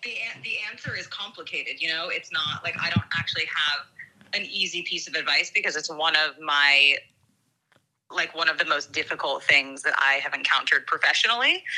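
Here is an unremarkable speaking voice: a woman, fairly low in pitch with ordinary pitch variation, going at a fairly quick pace. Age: 30s. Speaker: friend of the hosts. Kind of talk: casual chat. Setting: phone call.

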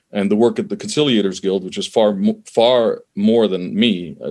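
Lively intonation and a moderate pace mark an ordinary speaking voice on a very clean recording with a silent background. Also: man. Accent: Canadian. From Canada. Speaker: conflict resolution expert, former diplomat. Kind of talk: interview conversation.

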